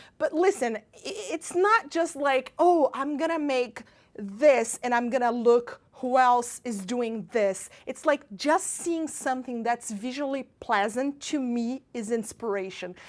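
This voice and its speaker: A woman with a Brazilian accent speaks at a fairly slow pace in a high voice, her tone animated and her intonation lively. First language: Portuguese. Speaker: pastry chef. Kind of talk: baking tutorial and casual talk.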